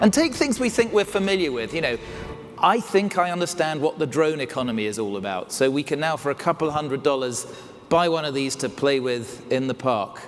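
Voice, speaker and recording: Music plays in the background as a man with an English accent speaks fairly quickly at a fairly high pitch, his intonation lively. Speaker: keynote speaker. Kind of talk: keynote talk. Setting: stage with audience.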